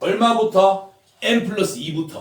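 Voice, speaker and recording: Loud and very slow, a man speaks with ordinary pitch variation amid audible room echo. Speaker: math tutor. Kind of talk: lecture.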